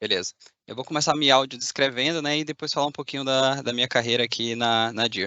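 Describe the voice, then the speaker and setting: A man with a Bahian accent speaks with fairly even intonation. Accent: Bahian Brazilian Portuguese. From Bahia, Brazil. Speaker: machine learning engineer. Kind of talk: conference talk. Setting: video call from a factory.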